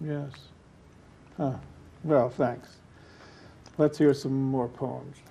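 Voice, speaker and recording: Very slowly, a man speaks in a monotone, flat delivery. His tone is dark and mellow, and somewhat breathy. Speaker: poet, interviewer. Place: studio. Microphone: lapel.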